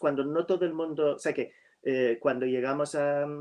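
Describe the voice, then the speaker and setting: This man speaks with an American accent at a fairly high pitch. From US Northeast (New York). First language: English (speaking Spanish). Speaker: writer. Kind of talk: virtual literary talk. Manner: halting with many fillers.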